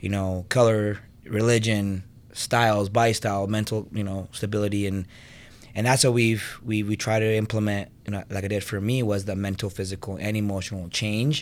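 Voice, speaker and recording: The speech moves at a moderate pace with a monotone, flat intonation. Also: man, fairly low pitch for a man. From Venezuela. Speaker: personal trainer and gym co-owner. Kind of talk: podcast interview.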